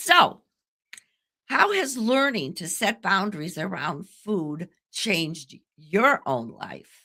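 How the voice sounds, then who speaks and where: A woman's bright, sharp voice at a very slow pace, with very wide pitch swings and big swings in loudness. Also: medium pitch for a woman. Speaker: communication coach, podcast host. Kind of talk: interview conversation.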